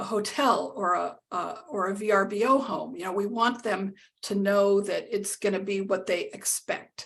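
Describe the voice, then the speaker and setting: Vocal fry runs through a woman's medium-pitched voice. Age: 60s. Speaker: accessibility lead at a travel company, blind. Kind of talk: interview. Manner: halting, many fillers and repeats.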